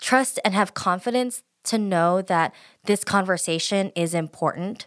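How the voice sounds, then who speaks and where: A woman's a normal speaking voice with an American accent, medium in pitch and fairly slow in pace, on a very clean recording with a silent background. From US, Filipino family. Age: 30s. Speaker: podcast co-host. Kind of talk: casual chat.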